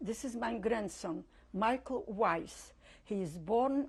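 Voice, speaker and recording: This woman speaks at a very slow pace with vocal fry in her voice. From Poland, Lodz. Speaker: Holocaust survivor. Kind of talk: oral history interview.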